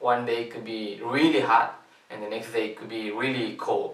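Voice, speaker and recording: A man with a Spanish accent speaks at a moderate pace and medium pitch. Noticeable background noise and audible room echo surround him. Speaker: youth volunteer. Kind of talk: promotional invitation video. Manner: halting, many fillers.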